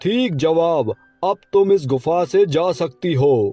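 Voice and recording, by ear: A cartoonish character voice from a man, high-pitched and fairly slow, with faint music in the background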